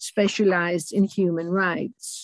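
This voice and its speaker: Speaking at a fairly slow pace with a British accent, a woman comes across in a dry sound with no echo against a quiet background. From northern England, Durham; northern England. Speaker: retired lecturer and author; retired lecturer. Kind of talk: seminar talk. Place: home room. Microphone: webcam.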